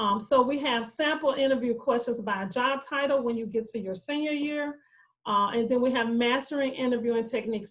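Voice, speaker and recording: This woman's voice sits high and moves with ordinary pitch variation. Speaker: university career advisor. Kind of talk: online presentation. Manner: fast.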